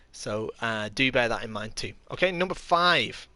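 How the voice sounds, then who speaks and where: With an English accent, a man speaks at a moderate pace in a bright, sharp tone with ordinary pitch variation. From England. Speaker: kendo instructor and live streamer. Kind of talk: live stream tutorial while gaming. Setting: live stream. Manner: hesitant, many fillers.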